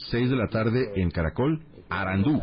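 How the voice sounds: A man speaks at a fairly slow pace with a fairly low pitch. His intonation is lively.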